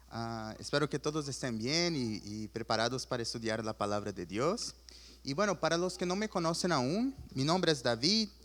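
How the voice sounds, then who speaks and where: In a very clean recording over a silent background, a man speaks at a moderate pace with very wide pitch swings. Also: medium pitch for a man. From Chile. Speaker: preacher. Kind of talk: sermon.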